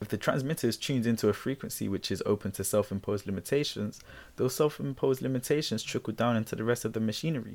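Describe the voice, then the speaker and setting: A man's medium-pitched voice, with ordinary pitch variation, races along at a very fast pace. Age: 20s. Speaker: self-help podcast host. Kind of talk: solo motivational talk. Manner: casual, repetitive fillers.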